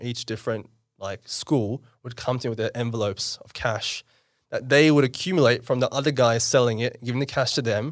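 In a very clean recording with a silent background, a man with an Australian accent speaks at a fairly quick pace with fairly even intonation. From Australia (Western Sydney), born in India. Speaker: entrepreneur. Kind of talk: casual interview.

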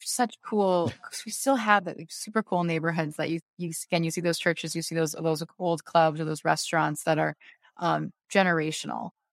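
A woman with an American accent speaks at a moderate pace in a plain, everyday voice, her pitch fairly low and her intonation fairly even. The recording is very clean with a silent background and a dry, close sound with no echo. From US Pacific Northwest, Beaverton, Oregon. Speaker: mayor. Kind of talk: interview.

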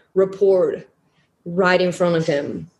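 A woman speaks at a medium pitch and a moderate pace. Her tone is dark and mellow, and somewhat breathy. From Flemish Belgium. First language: Dutch (Flemish). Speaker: survivor sharing personal story. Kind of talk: testimony.

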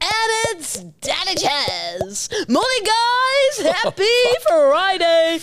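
In a put-on character voice, a woman talks at a very slow pace and an extremely high pitch. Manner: cheesy, upbeat, over-the-top.

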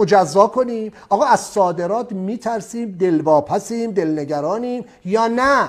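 An animated man with a high pitch speaks at a fairly slow pace with hardly any pauses. His pitch varies in an ordinary way. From outside Iran. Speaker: export trainer. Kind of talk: lecture.

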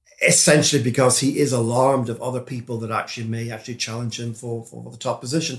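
A somewhat breathy man at a medium pitch, with fairly even intonation and a fairly quick pace. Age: 60s. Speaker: politics professor. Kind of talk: interview. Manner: halting.

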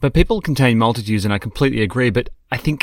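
A man with an Australian accent at a very fast pace, medium pitch, lively intonation, and a dry, close sound with no echo. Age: 30s. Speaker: podcast co-host. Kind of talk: casual chat.

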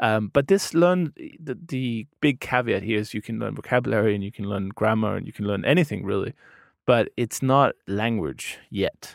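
Speaking with a Danish accent, a man uses a medium pitch and lively intonation at a moderate pace. The recording is very clean with a silent background, and the sound is dry and close with no echo. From Denmark. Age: 30s. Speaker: podcast host and language learner. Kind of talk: casual interview chat.

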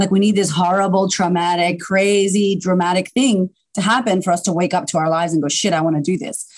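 Talking at a fairly quick pace, a woman with a Boston accent keeps a medium pitch. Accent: Boston American. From US, Boston. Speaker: confidence coach. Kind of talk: casual interview chat. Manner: animated.

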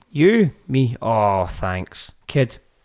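A man with a Scottish accent and very wide pitch swings. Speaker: podcast host, parent. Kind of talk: casual chat.

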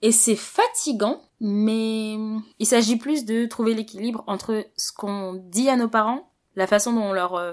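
A woman with a fairly high pitch speaks in an ordinary speaking voice, with ordinary pitch variation. The recording is very clean, with a silent background. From Paris, France. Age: 20s. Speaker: interviewee sharing life story. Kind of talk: interview.

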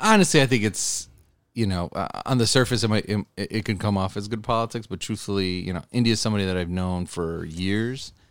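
A man with a normal speaking voice, an American accent and a fairly low pitch speaks at a fairly quick pace with ordinary pitch variation in a very clean recording with a silent background. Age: 30s. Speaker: state legislator. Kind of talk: interview.

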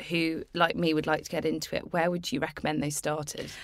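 A woman with a British accent speaks at a fairly low pitch over noticeable background noise. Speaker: podcast host. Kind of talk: casual chat.

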